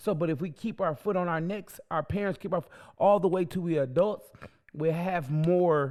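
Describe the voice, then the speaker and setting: A man speaks loudly with a high pitch. His pace is moderate. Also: ordinary pitch variation, very clean recording, silent background. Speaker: podcast co-host. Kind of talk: casual chat.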